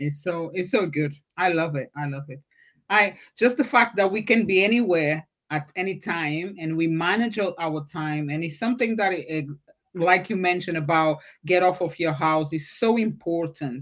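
A normal speaking voice from a woman, fairly low in pitch, at a moderate pace with ordinary pitch variation. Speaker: podcast host. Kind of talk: livestreamed interview. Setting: video call livestream.

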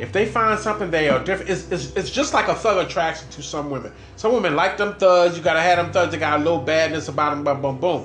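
A man with a high pitch talks at a very fast pace with hardly any pauses, amid noticeable background noise and audible room echo. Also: ordinary pitch variation. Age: 50s. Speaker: podcast host. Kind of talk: casual chat.

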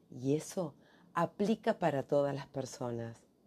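In a Rioplatense accent, a woman with a very deep, low pitch speaks at a very slow pace with lively intonation against a quiet background. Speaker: career coach. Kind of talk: podcast monologue.

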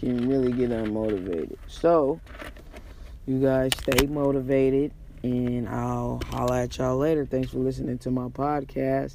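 With noticeable background noise around him, a man keeps a moderate pace. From San Francisco, Hunters Point. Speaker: podcast host. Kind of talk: casual monologue. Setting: on the way to work.

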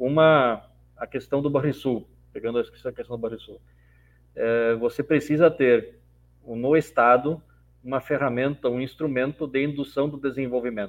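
The speaker keeps a moderate pace and fairly even intonation. Long pauses come often. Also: man, medium pitch for a man. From Rio Grande do Sul, Brazil. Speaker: mayor. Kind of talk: panel debate.

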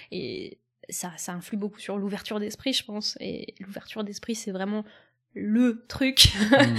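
A woman speaks in an unremarkable speaking voice, fairly high in pitch and with ordinary pitch variation. She goes at a fairly slow pace, with big swings in loudness. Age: 20s. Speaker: former biologist, science communicator. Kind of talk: casual chat.

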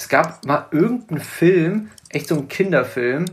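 This man is somewhat breathy. His pitch sits fairly high. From northern Germany (Hamburg area). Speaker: podcast co-host. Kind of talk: casual chat. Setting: remote recording via tablet. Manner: animated.

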